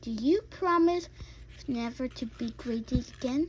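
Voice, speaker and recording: Putting on a character voice, a woman speaks high at a moderate pace. Clear background noise can be heard. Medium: read story. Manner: stern, commanding.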